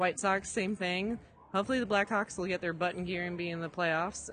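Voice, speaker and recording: With an American accent, a woman at a medium pitch speaks at a moderate pace. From Chicago area, US Midwest. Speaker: design conference ambassador. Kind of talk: casual interview. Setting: at a design conference.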